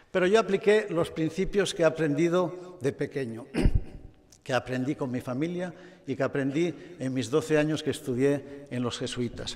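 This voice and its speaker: At a moderate pace, a man with a fairly high pitch talks in a normal speaking voice. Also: ordinary pitch variation. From Spain, Barcelona. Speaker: automotive executive. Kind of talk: award acceptance speech. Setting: stage with audience.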